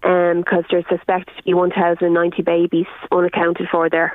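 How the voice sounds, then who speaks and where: A woman at medium pitch with an Irish accent, speaking at a moderate pace. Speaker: concert organiser and campaigner. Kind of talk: radio phone interview. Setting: phone call.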